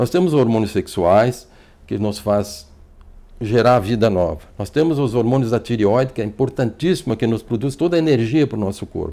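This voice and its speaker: Lively intonation marks a man's dark, mellow tone at medium pitch. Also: moderate pace. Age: 60s. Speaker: physician. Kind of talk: TV interview. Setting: TV studio. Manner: fluent.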